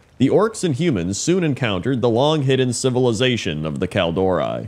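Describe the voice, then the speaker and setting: In a dramatic tone, a man speaks at a medium pitch and fairly quick pace, with very wide pitch swings and vocal fry. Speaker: YouTube gaming content creator. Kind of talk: lore audiobook reading, scripted narration. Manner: even, steady storyteller pacing; formal, dramatic narrator tone.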